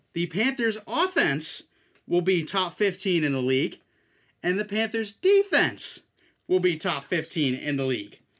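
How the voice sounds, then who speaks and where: This man talks at a moderate pace in a normal speaking voice. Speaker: podcast host. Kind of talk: casual sports chat.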